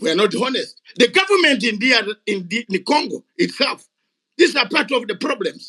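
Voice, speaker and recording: At an extremely high pitch, a man raises and projects a bright, sharp voice with very wide pitch swings at a moderate pace, in a dry, close sound with no echo. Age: 60s. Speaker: retired soldier and activist. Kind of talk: heated debate. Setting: online audio room. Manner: animated.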